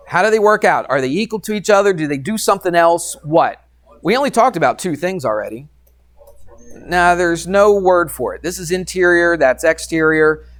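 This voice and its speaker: Music plays in the background as a man talks at a moderate pace. His high voice has lively intonation. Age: 50s. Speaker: math teacher. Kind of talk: classroom lecture. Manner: conversational, questioning.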